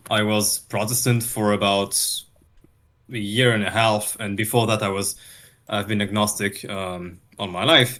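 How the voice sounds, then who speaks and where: A man with a non-native accent and a fairly low pitch speaks at a fairly slow pace with fairly even intonation on a very clean recording with a silent background. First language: not English. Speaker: debater, Orthodox catechumen. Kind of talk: debate introduction. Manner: halting, searching for words.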